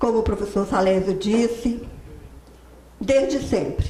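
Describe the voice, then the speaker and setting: The speech moves at a fairly slow pace. Audible echo fills the room. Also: woman. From Minas Gerais, Brazil. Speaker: accountant and professor giving a talk. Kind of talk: lecture.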